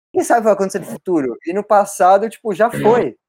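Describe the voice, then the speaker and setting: The sound is dry and close, with no echo. The intonation is lively and the pace is moderate. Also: man. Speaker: podcast co-host and university student. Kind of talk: casual podcast chat.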